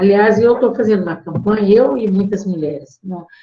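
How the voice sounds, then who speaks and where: A woman's medium-pitched voice, dark and mellow and somewhat breathy. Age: 70s. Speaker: feminist activist. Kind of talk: talk to course participants.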